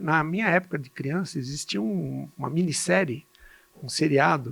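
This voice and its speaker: At a fairly slow pace, a man talks at a fairly high pitch with very wide pitch swings. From Brazil, São Paulo state (Jundiaí). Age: 60s. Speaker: physician and medical educator. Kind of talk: podcast interview. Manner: halting, with repetitions.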